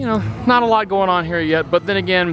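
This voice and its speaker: A man talks loud and at a very fast pace. Noticeable background noise is present. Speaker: theme park vlogger. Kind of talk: casual walking vlog commentary. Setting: outdoors walking in a theme park. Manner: talking loudly; hesitant, many fillers.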